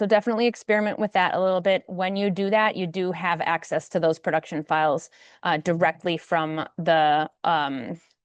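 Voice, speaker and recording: Over a quiet background, a woman with a fairly low pitch and ordinary pitch variation comes through in a dry, close sound with no echo. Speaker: software product presenter. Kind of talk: webinar product demo. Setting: online webinar. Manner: fast.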